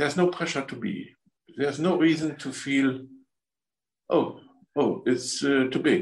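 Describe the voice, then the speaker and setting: A man with a German accent speaks at a fairly slow pace, his pitch varying in an ordinary way. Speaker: spiritual healer. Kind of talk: guided energy healing session. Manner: halting.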